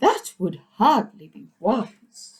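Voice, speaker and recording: The voice is an exaggerated put-on character. It sits fairly high in pitch. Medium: read story. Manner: hooting.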